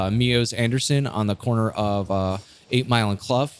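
This man has a plain, everyday voice at medium pitch, with fairly even intonation. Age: 30s. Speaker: brewery owner and Air Force veteran. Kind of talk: casual chat. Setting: in a brewery.

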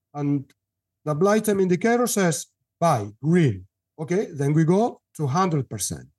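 A man's high-pitched voice with a Spanish accent, at a moderate pace against a quiet background. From Spain. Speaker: newsletter editor, market analyst. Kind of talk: interview.

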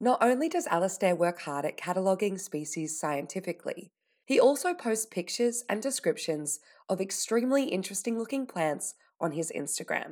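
In a very clean recording with a silent background, a woman speaks at a fairly quick pace. Her medium pitch makes very wide swings. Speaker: radio host interviewer. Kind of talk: scripted intro and interview narration.

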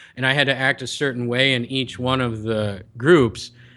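A man's normal speaking voice in an American accent, medium in pitch with ordinary pitch variation. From US Midwest, Chicago. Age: 30s. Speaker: health coach. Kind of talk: casual interview.

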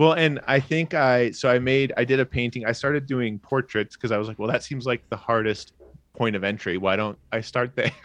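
A man talks at a fairly quick pace in a plain, everyday voice, medium in pitch with ordinary pitch variation. The sound is dry and close, with no echo. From Australia (rural), moved to US at twelve. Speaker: comedian and illustrator. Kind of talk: casual chat.

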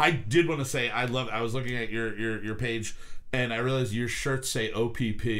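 This man has a plain, everyday voice at a medium pitch. He talks at a moderate pace with fairly even intonation. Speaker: podcast host. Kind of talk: casual chat podcast. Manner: rambling, informal, joking.

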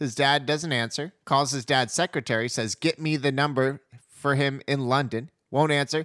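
Speaking at a moderate pace with fairly even intonation, a man uses a plain, everyday voice at a fairly high pitch, in a very clean recording with a silent background and a dry, close sound with no echo. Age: 30s. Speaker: podcast host. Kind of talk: casual chat.

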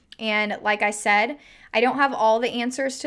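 Her intonation stays fairly even. The woman speaks at a moderate pace. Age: 20s. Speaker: podcast host, fitness coach. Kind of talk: casual solo podcast talk; promotional pitch.

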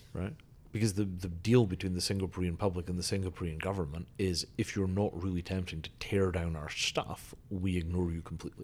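A man with a Scottish accent, a very deep, low pitch, fairly even intonation, and a fairly quick pace. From Scotland. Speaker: engineer and futurist. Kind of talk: casual chat.

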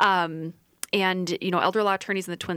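A woman with an American accent and a plain, everyday voice speaks fairly quickly at a fairly low pitch, the sound dry and close with no echo in a very clean recording with a silent background. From Iowa. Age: 30s. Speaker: lawyer. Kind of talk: radio interview.

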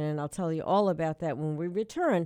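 In an ordinary speaking voice, a woman talks at a fairly low pitch with ordinary pitch variation, the sound dry and close with no echo. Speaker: radio host. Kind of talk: radio dj patter. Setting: radio studio. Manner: chatty; warm.

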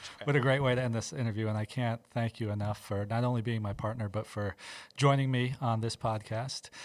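A man's normal speaking voice with an American accent, medium in pitch, fairly quick in pace, with fairly even intonation, on a very clean recording with a silent background. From US East Coast. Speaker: hospital administrator and podcast host. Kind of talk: casual interview.

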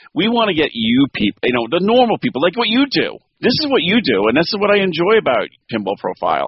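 A man with vocal fry speaks at a fairly quick pace, his pitch swinging very widely. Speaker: pinball collective host and podcaster.

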